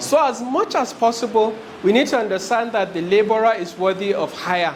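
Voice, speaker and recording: There is noticeable background noise and audible room echo as a man speaks in a high pitch with ordinary pitch variation. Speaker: HR specialist, business trainer. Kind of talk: lecture. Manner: fast.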